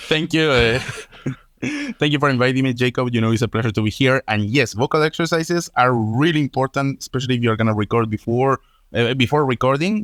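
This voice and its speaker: A man's medium-pitched voice with a Spanish accent, at a fairly quick pace with ordinary pitch variation, on a very clean recording with a silent background and a dry, close sound with no echo. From Spain. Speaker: political analyst and media co-founder. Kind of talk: casual podcast conversation. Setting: podcast recording.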